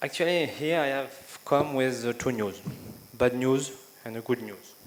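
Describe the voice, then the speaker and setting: A man with a slight French accent, ordinary pitch variation and noticeable background noise. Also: medium pitch for a man, fairly slow pace. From France. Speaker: education speaker. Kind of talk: conference speech. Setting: stage with audience. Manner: halting, with frequent fillers.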